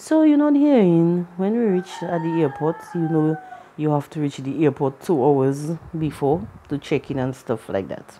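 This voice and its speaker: A woman speaks with a Caribbean accent in a very deep, low voice. Her pace is moderate and her pitch variation ordinary. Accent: Caribbean accent, colloquial speech. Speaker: vlogger. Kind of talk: personal storytelling vlog. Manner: casual, colloquial.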